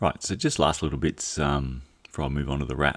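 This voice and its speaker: A man speaks with an Australian accent at a fairly quick pace. The recording is very clean, with a silent background. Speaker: cycling YouTuber. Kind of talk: reading aloud a court judgment with commentary. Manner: halting.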